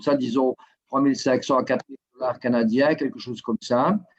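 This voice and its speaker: Here a man speaks with a Belgian accent at medium pitch and a moderate pace. His pitch varies in an ordinary way, and the sound is dry and close with no echo. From Belgium. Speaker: guest from Belgium. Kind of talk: casual interview.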